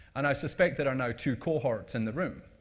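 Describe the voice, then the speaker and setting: Over a quiet background, a man with a Scottish accent talks at a fairly quick pace, somewhat breathy, at medium pitch with ordinary pitch variation. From Scotland. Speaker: conference speaker. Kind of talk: presentation talk. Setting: stage with audience. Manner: casual, hesitant with fillers.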